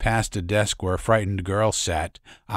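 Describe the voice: Intonation remains fairly even. The delivery is plain reading aloud.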